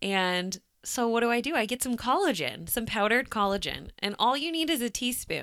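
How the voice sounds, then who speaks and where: Recorded very cleanly over a silent background, a woman talks at a moderate pace in a fairly high, bright, sharp voice with vocal fry. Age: 30s. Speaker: podcast co-host, realtor. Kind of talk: casual chat.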